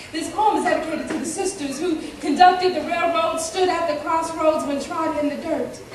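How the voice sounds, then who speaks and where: Noticeable background noise sits behind a woman speaking at a moderate pace. Her pitch is extremely high, with ordinary variation. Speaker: spoken word poet. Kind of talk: spoken word poetry performance.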